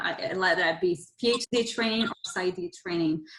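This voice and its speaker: A woman speaks at medium pitch with ordinary pitch variation and a Brazilian Portuguese accent. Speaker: podcast co-host, psychology trainee. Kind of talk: podcast interview. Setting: video call.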